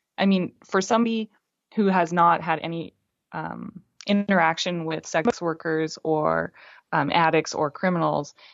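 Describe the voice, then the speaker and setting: This is a normal speaking voice with fairly even intonation, delivered at a moderate pace. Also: woman, fairly low pitch for a woman. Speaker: film critic. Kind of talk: casual chat.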